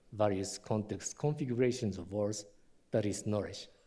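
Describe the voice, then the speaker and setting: The tone is dark and mellow. The speaker has a Japanese accent. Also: man. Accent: non-native English, Japanese. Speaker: historian and university vice president. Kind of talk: lecture. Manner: halting, many fillers.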